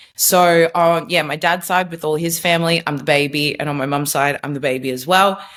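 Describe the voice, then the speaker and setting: A woman speaks with an Australian accent at a fairly low pitch. Her pace is moderate and her pitch varies in an ordinary way. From Australia, Melbourne. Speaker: former social media marketer, faith testimony guest. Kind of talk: podcast interview, personal testimony. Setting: video call.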